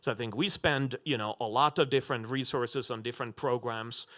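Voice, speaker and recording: On a very clean recording with a silent background, a man with a non-native accent talks at a medium pitch in a bright, sharp tone. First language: not English. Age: 40s. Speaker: business school dean. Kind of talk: panel discussion. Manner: halting, many fillers.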